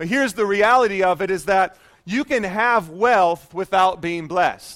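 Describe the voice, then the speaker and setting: This man's pitch is high and his tone animated. He delivers his words at a fairly slow pace. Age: 30s. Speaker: pastor. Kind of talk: sermon. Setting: church with congregation.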